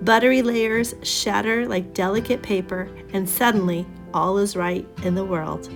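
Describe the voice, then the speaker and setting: A woman talks with ordinary pitch variation. Behind her, music is playing. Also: medium pitch for a woman, moderate pace. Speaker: travel vlogger. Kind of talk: travel narration voice-over.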